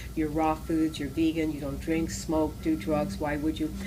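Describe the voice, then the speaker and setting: A woman talks at a moderate pace with noticeable background noise in the recording. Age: 60s. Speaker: raw food teacher and holistic healer. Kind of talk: interview answer.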